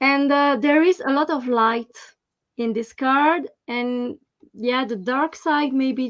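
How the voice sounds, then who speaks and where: A woman with a French accent speaks very slowly in a high voice. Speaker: tarot reader. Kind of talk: casual chat. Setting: live stream. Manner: halting.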